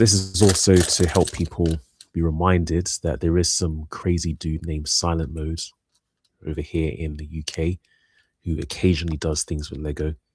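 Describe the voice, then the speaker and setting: Very deep and low, a man's voice with a British accent holds a monotone, flat intonation on a very clean recording with a silent background. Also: moderate pace. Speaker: live streamer, hobbyist building minifigures. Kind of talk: casual live stream chat. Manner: soft-spoken in person, louder on streams.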